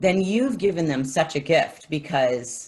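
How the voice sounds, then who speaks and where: This woman's fairly low voice is somewhat breathy, and she speaks at a fairly slow pace with lively intonation. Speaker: music teacher. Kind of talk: casual chat.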